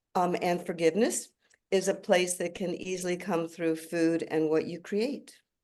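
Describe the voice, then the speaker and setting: A woman with a dark, mellow tone speaks at a fairly low pitch. Her pace is moderate and her intonation fairly even. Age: 70s. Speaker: chef and restaurateur. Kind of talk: panel discussion. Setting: video call.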